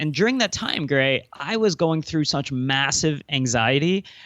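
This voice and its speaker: The man's voice has a fairly high pitch. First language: Cantonese. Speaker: entrepreneur and speaker. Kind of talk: podcast interview. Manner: hesitant, many fillers.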